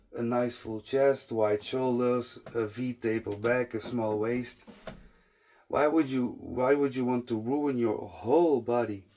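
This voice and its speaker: Very slow speech from a man with a non-native accent, a medium pitch and ordinary pitch variation. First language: not English. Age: 30s. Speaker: fitness content creator. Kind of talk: casual monologue to camera. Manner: halting, frequent fillers and restarts.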